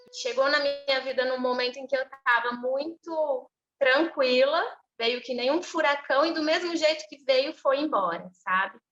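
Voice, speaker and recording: A woman speaks in a high-pitched voice with ordinary pitch variation. She keeps a fairly slow pace. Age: 30s. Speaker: interviewee sharing a personal story. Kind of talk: testimony.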